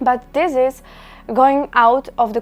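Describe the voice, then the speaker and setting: Speaking with a non-native accent, a woman uses a high pitch and fairly even intonation. Her pace is fairly slow. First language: not English. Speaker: permanent makeup artist and trainer. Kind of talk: casual vlog talk to camera.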